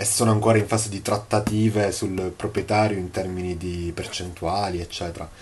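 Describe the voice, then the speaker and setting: Against light background noise, a man with a very deep, low pitch speaks at a moderate pace with long, frequent pauses. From Sicily, Palermo. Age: 20s. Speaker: course student, property manager. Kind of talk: testimonial. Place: home room. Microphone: phone near.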